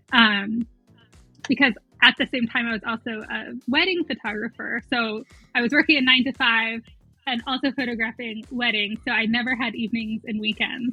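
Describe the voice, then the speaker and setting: Over music in the background, a woman speaks at a moderate pace with a fairly high pitch and fairly even intonation. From abroad, moved to US at seven. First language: not English. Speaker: romance author. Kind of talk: casual interview chat.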